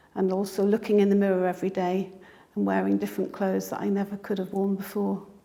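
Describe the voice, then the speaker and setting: With a British accent, a woman speaks at a very fast pace. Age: 60s. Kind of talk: interview answer.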